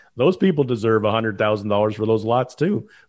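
This man has an unremarkable speaking voice with a Canadian accent. His pitch sits in the medium range, with ordinary pitch variation. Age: 50s. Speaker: political commentator. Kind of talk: casual panel discussion.

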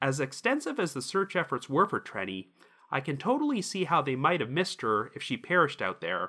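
Talking at a fairly quick pace, a man uses very wide pitch swings in a bright, sharp tone with vocal fry. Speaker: podcast host. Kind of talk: true-crime narration. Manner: measured, serious; steady, even storytelling delivery.

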